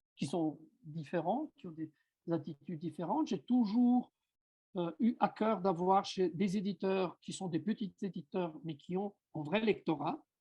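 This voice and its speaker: With an Italian accent, a man speaks in a high pitch with a dark, mellow tone, recorded dry and close with no echo against a quiet background. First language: Italian (speaking French). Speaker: writer and self-translator. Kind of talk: seminar talk. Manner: halting, with many fillers.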